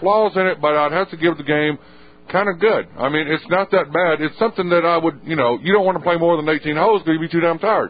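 The speech goes at a very fast pace. Its intonation stays fairly even. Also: man. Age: 20s. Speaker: wrestling podcast co-host. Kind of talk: casual chat.

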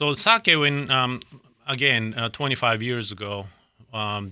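A man's bright, sharp voice with a Japanese accent and fairly even intonation, on a very clean recording with a silent background. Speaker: sushi chef and restaurant owner. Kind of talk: radio interview.

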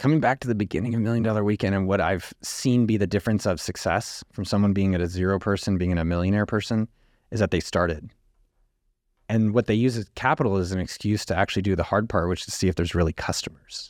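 The speech moves at a very fast pace with ordinary pitch variation. It is a very clean recording with a silent background. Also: man, fairly low pitch for a man. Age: 40s. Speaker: entrepreneur. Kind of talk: interview.

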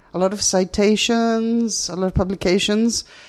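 Speaking in a Greek accent at a fairly slow pace, a woman's dark, mellow tone comes through in a dry, close sound with no echo. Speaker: radio host. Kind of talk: interview. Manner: halting.

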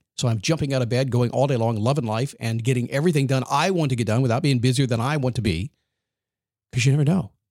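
This man has an energetic tone and a medium pitch with ordinary pitch variation. He talks at a very fast pace, his loudness very even throughout. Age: 60s. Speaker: motivational podcast host. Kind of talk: motivational monologue.

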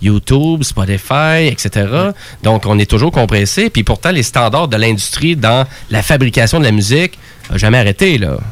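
Lively intonation at a moderate pace, with a Quebec accent. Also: man. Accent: Québécois French. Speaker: radio co-host. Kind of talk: casual chat.

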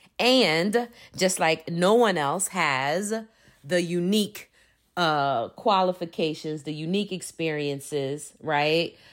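An ordinary speaking voice from a woman, fairly low in pitch with ordinary pitch variation, on a very clean recording with a silent background. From Philadelphia, Pennsylvania, US. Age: 50s. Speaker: diversity consultant. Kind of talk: personal monologue.

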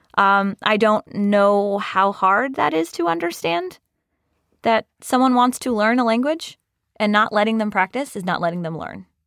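On a very clean recording with a silent background, a woman with a plain, everyday voice speaks at a moderate pace and medium pitch with lively intonation, in a General American accent. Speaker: HR professional. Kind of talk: casual interview chat, reading letters aloud. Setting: studio.

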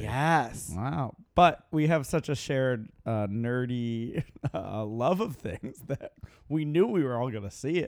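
Speaking in an unremarkable speaking voice, a man keeps a medium pitch and lively intonation. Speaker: podcast co-host, magician. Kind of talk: casual chat.

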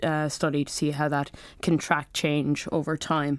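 In an Irish accent, a woman speaks at a moderate pace with a very deep, low pitch in a very clean recording with a silent background. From Ireland. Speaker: clinical research fellow.

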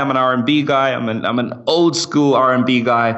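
Over noticeable background noise, a man with an American accent talks at medium pitch with fairly even intonation. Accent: British with slight American twang. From London, England. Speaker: startup founder. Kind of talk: casual interview. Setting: remote call.

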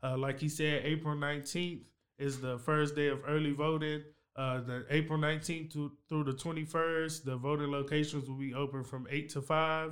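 A man speaks with an American accent in a fairly high voice. His intonation is monotone and flat. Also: moderate pace. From Waco, Texas. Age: 20s. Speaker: school board candidate. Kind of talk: casual interview.

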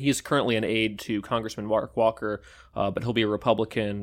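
A man speaks at a fairly low pitch in monotone, flat intonation, in a very clean recording with a silent background. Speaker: political reporter. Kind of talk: casual newsroom discussion.

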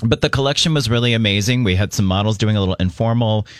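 The recording is very clean, with a silent background. A man speaks at a very fast pace in a fairly low pitch. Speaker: radio co-host. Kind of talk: casual chat. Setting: studio.

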